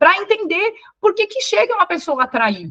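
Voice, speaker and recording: This woman's voice has a bright, sharp tone and very wide pitch swings. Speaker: psychologist and couples therapist. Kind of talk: live online class. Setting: livestream with chat. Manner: fast; animated, conversational.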